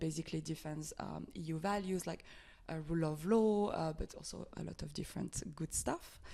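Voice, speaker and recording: A woman's fairly low, dark, mellow voice with a French accent, fairly even intonation, and a moderate pace. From France. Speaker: NGO advocacy officer. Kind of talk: podcast interview. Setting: office.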